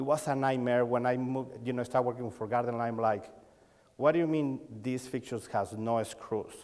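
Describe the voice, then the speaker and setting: Intonation stays fairly even as a man speaks at a medium pitch. He moves at a fairly quick pace. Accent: Mexican. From Mexico. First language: Spanish. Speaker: lighting designer and sales coach. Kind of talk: conference talk. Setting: stage with audience. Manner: halting.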